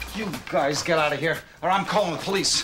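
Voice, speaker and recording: Moderate-paced male speech over clear background music. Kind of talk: scripted drama dialogue. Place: shop.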